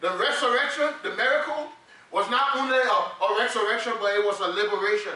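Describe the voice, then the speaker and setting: A man talks at a fairly quick pace in a raised, projected voice with an extremely high pitch and ordinary pitch variation. Background noise is noticeable. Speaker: preacher. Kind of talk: sermon. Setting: church. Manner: animated, call-and-response preaching, repeats words when emphatic.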